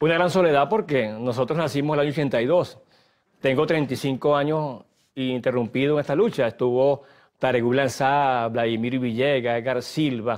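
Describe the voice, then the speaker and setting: A man's medium-pitched voice with very even loudness, ordinary pitch variation and a moderate pace, over a quiet background. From Venezuela, Guárico. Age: 60s. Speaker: human rights activist and lawyer. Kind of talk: TV interview. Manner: halting, with repetitions.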